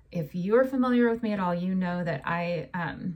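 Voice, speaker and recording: This woman's voice is somewhat breathy, and her intonation is lively. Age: 40s. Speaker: podcast host, holistic health coach. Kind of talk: solo podcast monologue.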